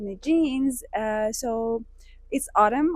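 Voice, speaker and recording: A woman talks in a Persian accent at a high pitch. Her intonation is lively. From Iran (Hamedan, west). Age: 30s. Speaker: vlogger. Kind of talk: casual vlog talk to camera. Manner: hesitant, many fillers.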